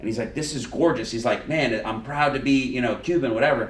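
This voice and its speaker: Over noticeable background noise and audible room echo, a man with a South Florida accent speaks with lively intonation. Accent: South Florida American English. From Miami, Florida. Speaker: lawyer and podcast host. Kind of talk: casual chat. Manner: loud; animated.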